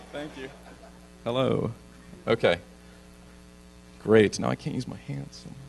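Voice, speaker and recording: A man at a moderate pace, with long, frequent pauses, big swings in loudness, and music in the background. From US West Coast, Santa Monica, California. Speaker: neurologist and researcher. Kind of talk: lecture.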